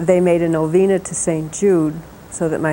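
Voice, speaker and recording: With noticeable background noise around her, a woman talks at a moderate pace. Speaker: devotee. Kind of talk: testimony.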